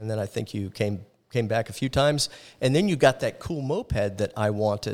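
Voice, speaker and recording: An American-accented man with a plain, everyday voice, medium pitch, ordinary pitch variation and a fairly quick pace, on a very clean recording with a silent background. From Florida, Orlando. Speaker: church missions coordinator. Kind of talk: casual interview chat. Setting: camp ground.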